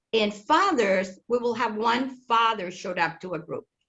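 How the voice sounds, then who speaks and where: A woman with a Spanish accent at a moderate pace. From Chile. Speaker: family support center director. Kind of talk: webinar panel discussion. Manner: halting, with repetitions.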